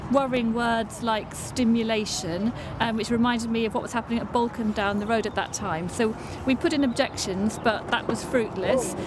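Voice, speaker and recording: A woman speaks with fairly even intonation. The sound is dry with no echo, and there is noticeable background noise. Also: moderate pace. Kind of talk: interview answer. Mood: concerned but calm. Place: street. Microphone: camera far.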